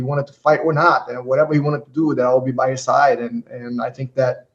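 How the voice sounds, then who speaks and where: A somewhat breathy man with a fairly high pitch, fairly even intonation and a fairly quick pace. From Brazil, Rio de Janeiro. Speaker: retired MMA fighter and coach. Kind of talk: interview. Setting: podcast studio.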